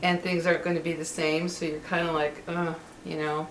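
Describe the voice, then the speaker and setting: The room adds an audible echo. There is noticeable noise in the background. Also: woman. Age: 60s. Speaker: vlogger. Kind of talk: casual monologue. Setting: at home. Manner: hesitant, many fillers.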